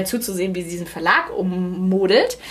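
A woman talks at a medium pitch, and noticeable background noise runs underneath her. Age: 30s. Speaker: media project lead, business school alumna. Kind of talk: casual interview.

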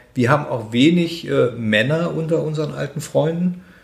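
A somewhat breathy man with lively intonation at a moderate pace. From Germany, Braunschweig. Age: 60s. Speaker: head of a charity for elderly people. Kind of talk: interview. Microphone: muffled from wearing a mask.

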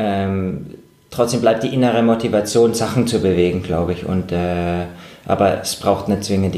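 Over audible room echo, a man speaks at a moderate pace in a fairly low, dark and mellow voice with ordinary pitch variation. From Germany. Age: 30s. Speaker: professional mountaineer and climber. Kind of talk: interview. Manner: halting, many fillers and repetitions.

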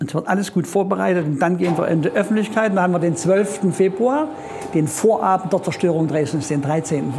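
Amid noticeable background noise, a man speaks at a moderate pace in a high pitch with ordinary pitch variation. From Erzgebirge, Saxony. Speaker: musician. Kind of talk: casual chat.

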